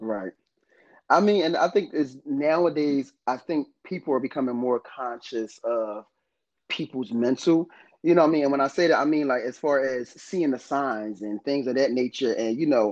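A man speaks in a normal speaking voice at a moderate pace, his pitch fairly high with ordinary variation. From northern New Jersey, US. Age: 30s. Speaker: podcast co-host. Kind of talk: casual chat.

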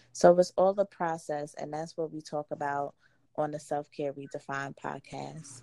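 A woman with a northeastern US accent speaks at a moderate pace with a very deep, low pitch and fairly even intonation on a very clean recording with a silent background. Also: dry, close sound with no echo. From New Jersey. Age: 30s. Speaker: entrepreneur and women's empowerment advocate. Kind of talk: interview.

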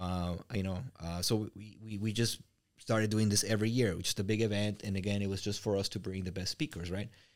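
Here a man with a Mexican accent speaks at a fairly low pitch and a fairly quick pace. His intonation stays fairly even, and the recording is very clean with a silent background. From Mexico. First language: Spanish. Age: 40s. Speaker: real estate business owner and coach. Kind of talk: interview conversation.

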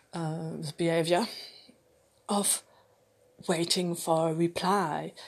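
A woman's fairly low voice, very slow and fairly even in intonation, against a quiet background. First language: French. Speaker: vlogger. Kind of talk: personal monologue. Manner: halting, many fillers.

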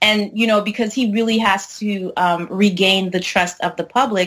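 A woman has an unremarkable speaking voice at medium pitch with ordinary pitch variation. She talks at a moderate pace. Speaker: film and TV critic. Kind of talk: casual chat.

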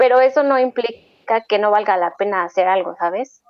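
This woman has an ordinary speaking voice at a medium pitch. She keeps a moderate pace and ordinary pitch variation. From Mexico. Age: 20s. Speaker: dance collective member. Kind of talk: casual interview.

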